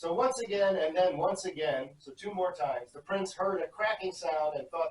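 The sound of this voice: In an unforced reading voice, the intonation is lively.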